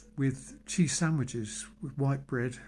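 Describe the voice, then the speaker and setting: A man with a British accent speaks at a very slow pace, somewhat breathy. His pitch is medium with ordinary variation. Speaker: vlogger. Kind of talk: personal monologue. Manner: halting.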